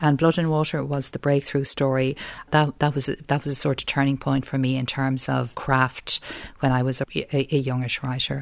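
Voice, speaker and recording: In a very deep, low pitch, a woman speaks with monotone, flat intonation. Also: moderate pace. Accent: Dublin. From South Dublin, Ireland. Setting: home interview.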